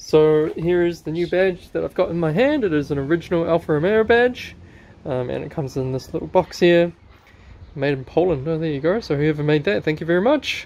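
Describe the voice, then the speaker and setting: The pitch varies in an ordinary way. The pace is fairly quick. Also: man, high pitch for a man. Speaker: car hobbyist channel host. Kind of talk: tutorial. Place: garage. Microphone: phone near.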